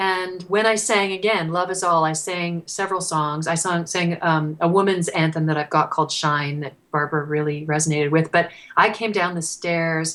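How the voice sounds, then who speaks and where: With a plain, everyday voice, a woman talks at a moderate pace and fairly low pitch, using fairly even intonation and hardly any pauses. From Canada. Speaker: singer-songwriter. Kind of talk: interview answer.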